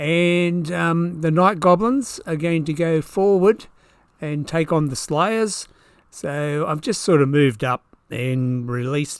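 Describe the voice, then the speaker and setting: A man with an Australian accent speaks at a very slow pace, his fairly high pitch moving with ordinary variation. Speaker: tabletop wargamer. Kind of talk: battle report commentary. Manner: casual.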